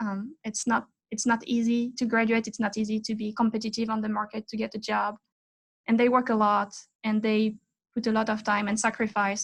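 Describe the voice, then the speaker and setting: The woman's intonation is monotone and flat, and her voice is somewhat breathy. She talks at a fairly quick pace. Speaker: aerospace engineering professor. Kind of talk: interview. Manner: halting.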